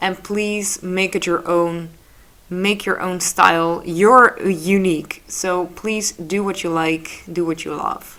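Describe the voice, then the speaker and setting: With a Dutch accent, a woman speaks at a very slow pace, using a medium pitch and fairly even intonation. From Netherlands. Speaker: photographer and digital artist. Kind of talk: tutorial. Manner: casual, slightly halting.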